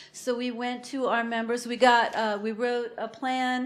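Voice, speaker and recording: With audible room echo, a woman speaks in a high pitch and a monotone, flat intonation. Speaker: food co-op membership coordinator. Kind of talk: conference talk.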